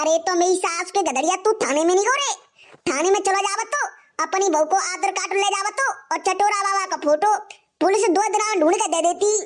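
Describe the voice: A cartoonish character voice at an extremely high pitch rattles along at a fairly quick pace.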